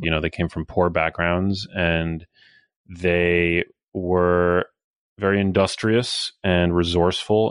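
A man with an American accent speaks at a fairly slow pace, with a very deep, low pitch, monotone, flat intonation and very even loudness. The sound is dry and close with no echo, and the background is quiet. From New York City, Manhattan. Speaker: health author and journalist. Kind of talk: interview.

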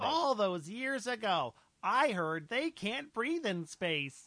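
A put-on character voice, fairly high in pitch, with very wide pitch swings and a fairly slow pace. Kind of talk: comic improv. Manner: goofy, babbling nonsense words.

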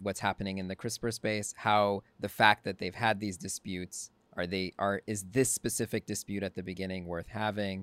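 A man's fairly low voice at a moderate pace, a normal speaking voice, on a very clean recording with a silent background. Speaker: podcast co-host.

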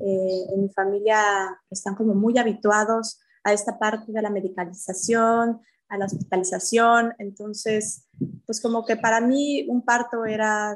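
A woman with an ordinary speaking voice talks at a fairly slow pace, her medium pitch held in fairly even intonation, in a very clean recording with a silent background. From Mexico City. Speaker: yoga teacher sharing birth stories. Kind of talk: personal testimony in interview.

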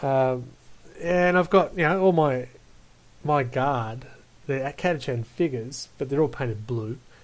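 A man speaks with an Australian accent in a fairly high pitch, with ordinary pitch variation, at a moderate pace. His loudness swings widely, and he takes long, frequent pauses. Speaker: podcast host. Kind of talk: casual chat. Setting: video call.

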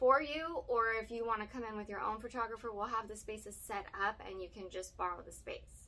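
A woman talking very fast, with noticeable background noise. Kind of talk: casual chat.

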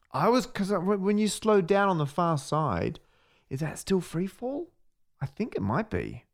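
Against a very clean, silent background, a high-pitched man with an Australian accent talks at a fairly slow pace with lively intonation. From Western Australia, Perth. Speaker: podcast co-host, maths communicator. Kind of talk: casual chat. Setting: office.

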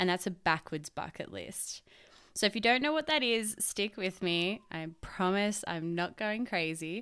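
In a very clean recording with a silent background, a woman with an Australian accent speaks at a medium pitch and fairly slow pace, using lively intonation and a bright, sharp tone. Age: 20s. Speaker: podcast host, cabinet maker. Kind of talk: solo podcast monologue. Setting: home recording on laptop.

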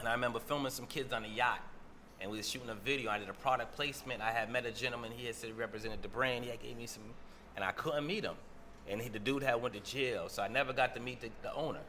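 Speaking at a very fast pace with an American accent, a man keeps his intonation fairly even. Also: medium pitch for a man. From Boston, Roxbury. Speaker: entrepreneur, cannabis advocate. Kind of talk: casual interview.

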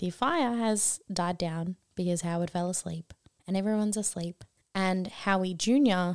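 Speaking at a moderate pace, a woman of medium pitch has an Australian accent. The recording is dry and close, with no echo. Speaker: podcast co-host. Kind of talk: casual chat. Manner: animated, excitable.

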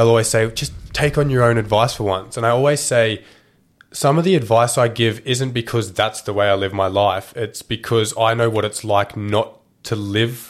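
A man talks at a medium pitch and a moderate pace with an Australian accent. His intonation is fairly even, and the recording is very clean with a silent background. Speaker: podcast host. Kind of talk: casual interview chat. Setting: studio, video recorded. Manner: casual, swears often.

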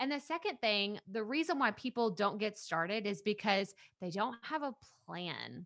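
A woman's fairly high voice with an East Texas accent, lively intonation and a moderate pace. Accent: East Texas Southern US. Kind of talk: casual interview chat. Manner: upbeat, energetic.

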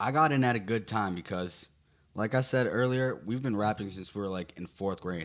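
An unremarkable speaking voice with an American accent, moderate pace and ordinary pitch variation, on a very clean recording with a silent background. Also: man, fairly low pitch for a man. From Garfield, New Jersey. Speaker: rapper and producer. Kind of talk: casual interview.

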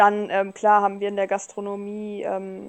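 A woman talks at a fairly slow pace. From Germany, northern Hesse (Rotenburg). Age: 20s. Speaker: trained chef and food influencer. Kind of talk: casual interview. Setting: online voice channel.

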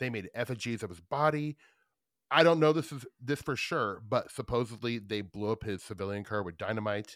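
Speaking at a fairly quick pace with an American accent, this voice shows ordinary pitch variation and big swings in loudness, on a very clean recording with a silent background. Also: man, medium pitch for a man. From Nebraska, Omaha. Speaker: podcast host. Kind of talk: casual chat. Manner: animated.

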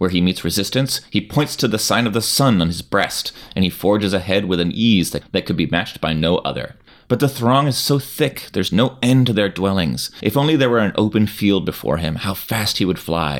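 Speaking at a fairly quick pace with hardly any pauses, a man with a fairly low pitch and an ordinary speaking voice uses lively intonation. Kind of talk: dramatic narration, reading a Kafka parable aloud. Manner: measured, storyteller's cadence, building tension.

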